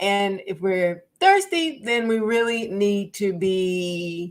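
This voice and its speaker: A woman speaks at a medium pitch. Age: 60s. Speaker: wellness coach and live stream host. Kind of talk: live stream talk. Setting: live stream on social media. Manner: casual, with frequent hesitations.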